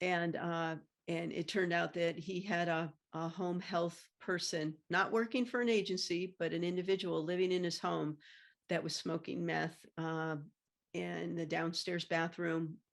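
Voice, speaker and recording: The recording is very clean, with a silent background. A woman speaks fairly slowly in a fairly low pitch with fairly even intonation. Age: 60s. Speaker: former banking executive, meth contamination advocate. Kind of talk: interview. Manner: halting.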